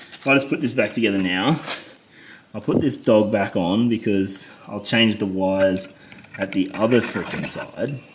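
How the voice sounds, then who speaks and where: A man with an Australian accent, fairly low pitch and a moderate pace, against noticeable background noise. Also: ordinary pitch variation. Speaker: motorcycle mechanic. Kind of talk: tutorial. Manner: frustrated muttering with heavy swearing.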